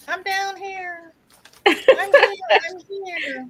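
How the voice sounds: Using a put-on character voice, a woman speaks. Her pitch is extremely high.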